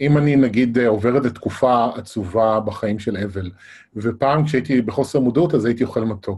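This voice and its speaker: Somewhat breathy, a man speaks at a moderate pace in a medium pitch with ordinary pitch variation. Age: 40s. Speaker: interviewer. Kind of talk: interview. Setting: live online broadcast.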